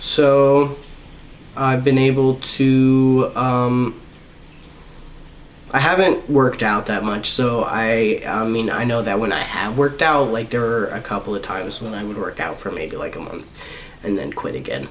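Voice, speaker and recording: Speech comes at a fairly slow pace with ordinary pitch variation. Noticeable background noise and audible room echo are present. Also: man. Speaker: vlogger. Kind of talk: personal vlog update. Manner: halting.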